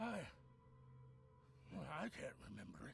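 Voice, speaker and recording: A man's put-on character voice at medium pitch. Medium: video game. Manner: nervous, defensive.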